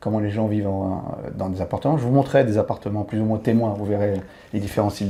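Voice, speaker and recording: A man's dark, mellow voice sits at a fairly low pitch. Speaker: podcast host, expat youtuber. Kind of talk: podcast interview.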